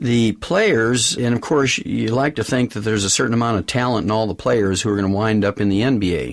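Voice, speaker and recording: This is a man with an unremarkable speaking voice, medium in pitch, talking at a fairly quick pace with ordinary pitch variation. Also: hardly any pauses. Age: 60s. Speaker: nutrition doctor and network marketing executive. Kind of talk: business interview conversation.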